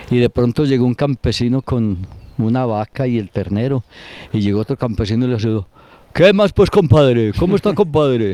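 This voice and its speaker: A man with a dark, mellow tone speaks at a medium pitch with lively intonation, in a dry, close sound with no echo. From Colombia, Antioquia (Granada). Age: 70s. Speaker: elderly local resident interviewed about town history. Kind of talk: interview, reminiscing.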